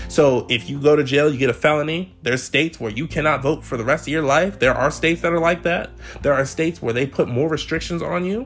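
Over noticeable background noise, a man with an American accent talks at a very fast pace in a fairly high pitch with ordinary pitch variation. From Maryland, Montgomery County. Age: 20s. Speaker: student podcaster. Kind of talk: solo podcast monologue.

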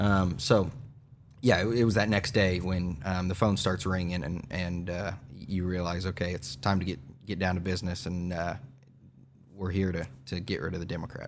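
A man with an American accent and a very deep, low pitch, at a moderate pace with fairly even intonation and audible room echo. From Kansas, Newton. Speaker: state legislator. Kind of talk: interview.

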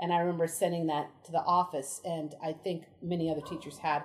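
Noticeable background noise behind a woman, fairly low in pitch, at a moderate pace. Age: 40s. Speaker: elementary school teacher. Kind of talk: interview. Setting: outdoors.

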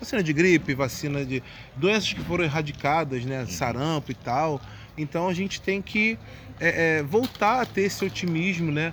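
A man with a fairly high pitch and an ordinary speaking voice talks at a moderate pace with lively intonation. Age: 30s. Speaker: samba composer and carnival art director. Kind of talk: casual interview.

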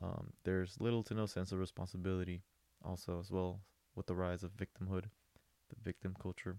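On a very clean recording with a silent background, a man speaks at a moderate pace in a very deep, low voice with a dark, mellow tone. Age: 20s. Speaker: podcast host, merchant sailor. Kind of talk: solo monologue. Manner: hesitant, many fillers.

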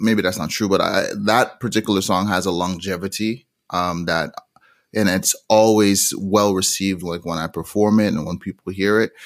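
Using a normal speaking voice, a man keeps a fairly low pitch with fairly even intonation. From Montreal, Canada, with Jamaican roots. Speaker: musician. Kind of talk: interview.

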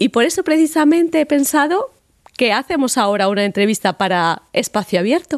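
A woman's voice moves in very wide pitch swings, with a dry, close sound and no echo. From Spain, Madrid. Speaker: podcast host. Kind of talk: casual interview.

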